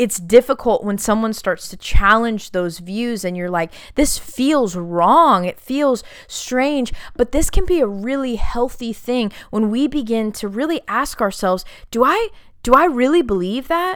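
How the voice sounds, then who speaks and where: Her tone is animated and her intonation lively. The woman speaks at a fairly slow pace with a fairly high pitch. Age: 30s. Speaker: podcast host and ministry leader. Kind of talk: solo faith podcast talk.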